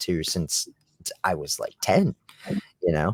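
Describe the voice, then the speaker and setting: On a very clean recording with a silent background and a dry, close sound with no echo, a man with an American accent speaks at a very deep, low pitch. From US Midwest, central Illinois. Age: 20s. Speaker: rock band musician. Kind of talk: casual interview chat.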